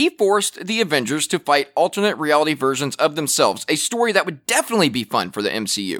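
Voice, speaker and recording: Speaking very fast with hardly any pauses, a man uses a fairly high pitch, very wide pitch swings and vocal fry. The recording is very clean with a silent background and a dry, close sound with no echo. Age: 20s. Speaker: podcast host and producer. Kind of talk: casual pop culture commentary. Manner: animated.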